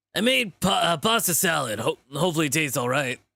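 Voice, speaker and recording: Putting on a gruff character voice, a man rattles along at a very fast pace with a fairly high pitch. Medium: game stream. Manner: friendly, easygoing.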